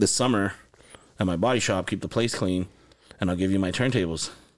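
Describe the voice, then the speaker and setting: A man speaks with an American accent. His pitch is very deep and low, and the recording is very clean with a silent background. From Los Angeles and Santa Paula, California. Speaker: music producer and studio owner. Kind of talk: casual interview chat. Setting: recording studio.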